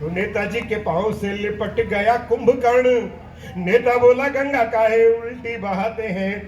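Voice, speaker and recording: With noticeable background noise and audible room echo, a man speaks at an extremely high pitch. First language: Punjabi (speaking Hindi). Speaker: poet. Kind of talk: stage poetry and humorous anecdotes. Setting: stage with audience. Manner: animated.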